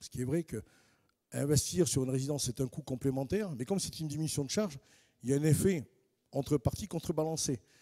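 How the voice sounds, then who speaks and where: A man talks at a very fast pace but with long, frequent pauses, his tone dark and mellow with ordinary pitch variation. The recording is very clean, with a silent background and a dry, close sound with no echo. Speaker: housing finance specialist, panelist. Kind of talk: panel presentation. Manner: hesitant, with frequent fillers and repetitions.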